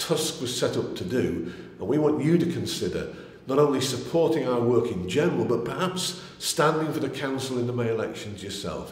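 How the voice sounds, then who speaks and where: Audible room echo surrounds this man as he speaks at a moderate pace. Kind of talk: political appeal to camera. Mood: earnest, persuasive. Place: home room.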